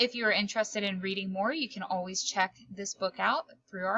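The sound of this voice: Reading aloud in an unforced voice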